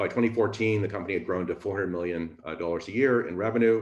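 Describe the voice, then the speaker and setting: A man's very fast, fairly low voice with ordinary pitch variation, audible room echo and a quiet background. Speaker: speaker. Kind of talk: lecture. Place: home room. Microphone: webcam.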